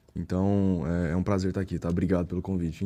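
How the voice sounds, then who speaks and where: On a very clean recording with a silent background, a man speaks at a fairly quick pace in a dark, mellow tone. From Brazil, interior of Goiás (Catalão). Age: 20s. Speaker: entrepreneur and pastor. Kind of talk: podcast interview.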